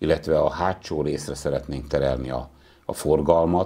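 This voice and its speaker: At a fairly slow pace, a man with a very deep, low pitch and a dark, mellow tone speaks with vocal fry and fairly even intonation over a quiet background. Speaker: town mayor. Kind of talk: interview. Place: studio. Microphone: lapel.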